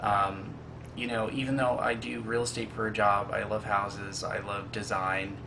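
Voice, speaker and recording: Audible room echo surrounds a man speaking in a fairly low pitch with fairly even intonation. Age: 20s. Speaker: casting applicant, realtor and college student. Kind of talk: casting video self-introduction. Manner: halting, many fillers.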